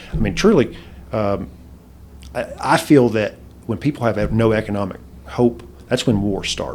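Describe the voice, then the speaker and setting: This man's voice has vocal fry. He leaves long, frequent pauses. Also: medium pitch for a man, lively intonation, moderate pace. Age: 40s. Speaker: Rotary club member and professional. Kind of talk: interview. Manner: halting, many repeated words.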